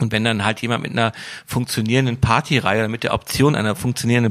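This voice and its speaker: A man with an ordinary speaking voice talks at medium pitch and fairly even intonation. The recording is very clean, with a silent background. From Wuppertal, western Germany. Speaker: DJ and event promoter. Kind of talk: casual interview.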